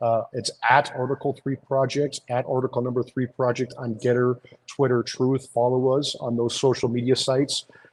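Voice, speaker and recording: A man speaks in a New York accent at a medium pitch. His pace is moderate, and the sound is dry and close with no echo. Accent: sounds like New York. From Iowa (Des Moines). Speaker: lawyer and legal advocacy group founder. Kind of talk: interview. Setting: outside a courthouse.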